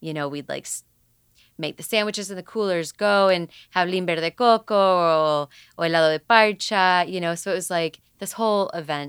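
Here a woman with an unremarkable speaking voice talks at a moderate pace and a medium pitch, with ordinary pitch variation. Her loudness swings a lot, and the sound is dry and close with no echo. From Puerto Rico, raised in Atlanta, US. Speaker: musician. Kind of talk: casual interview.

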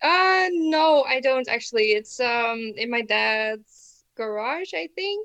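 Barely pausing yet very slow, a woman with a Dutch accent speaks in a high, bright and sharp voice with very wide pitch swings. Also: quiet background. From Netherlands. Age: young. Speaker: psychomotor therapy student. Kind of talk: casual chat.

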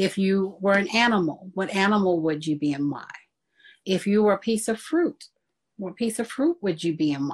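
The speaker sounds somewhat breathy and keeps a moderate pace. The background is quiet. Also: woman. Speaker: life coach and minister. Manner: soft-spoken.

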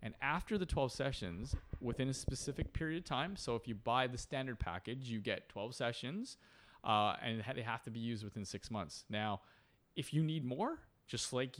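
Against a very clean, silent background, a man with a Canadian accent speaks at a medium pitch with ordinary pitch variation and an unremarkable speaking voice. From Canada, Port Coquitlam near Vancouver. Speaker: mental strength coach and author. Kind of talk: casual chat.

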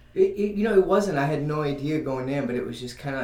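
A man speaks with audible room echo. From New Mexico. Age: 30s. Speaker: musician and Reiki healer. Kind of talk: casual interview. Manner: halting.

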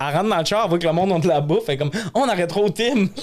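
A man speaks with a Lac-Saint-Jean accent. His intonation is lively. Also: very clean recording, silent background. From Quebec, Lac-Saint-Jean. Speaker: comedian and podcast host. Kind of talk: casual chat. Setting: studio.

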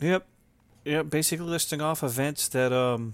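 Keeping a moderate pace, a man speaks with fairly even intonation. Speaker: RC helicopter podcast host and competition pilot. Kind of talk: casual chat. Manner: loud; halting with many fillers.

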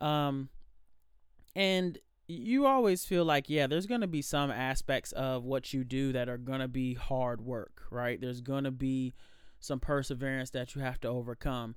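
Medium pitch from a man, moving up and down in an ordinary way. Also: moderate pace. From Alexandria, Virginia. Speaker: singer. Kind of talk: interview.

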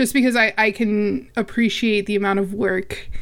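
A woman with a plain, everyday voice speaks at a moderate pace. Her pitch is fairly high and her intonation fairly even. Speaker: podcaster. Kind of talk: casual chat.

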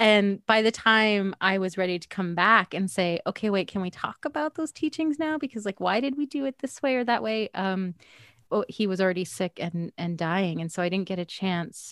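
A woman with a Canadian accent and an ordinary speaking voice, medium pitch and lively intonation at a moderate pace, in a dry, close sound with no echo on a very clean recording with a silent background. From Canada, Edmonton. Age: 40s. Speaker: singer-songwriter and author. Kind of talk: interview.

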